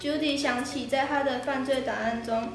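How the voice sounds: Against audible room echo, a woman speaks at a moderate pace with a high pitch and fairly even intonation.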